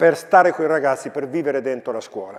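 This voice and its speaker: Noticeable background noise sits behind a man speaking very fast. His pitch is fairly high, with ordinary variation. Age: 60s. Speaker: philosophy professor and school educator. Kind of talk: talk to students.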